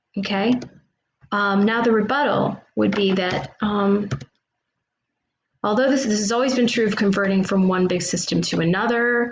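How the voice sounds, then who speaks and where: A woman at medium pitch and a moderate pace, with fairly even intonation, very even loudness, long, frequent pauses and audible room echo. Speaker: teacher. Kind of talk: classroom lesson.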